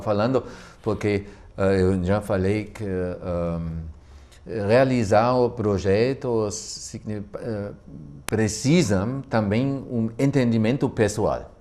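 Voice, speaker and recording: A man speaks in a German accent with a fairly low pitch. His pace is very slow. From Germany. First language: German (speaking Portuguese). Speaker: physical education professor. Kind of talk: studio talk show discussion. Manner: halting, many hesitations.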